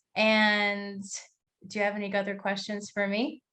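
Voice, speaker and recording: A woman with an ordinary speaking voice, medium in pitch, at a moderate pace over a quiet background. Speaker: podcast host. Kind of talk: interview conversation.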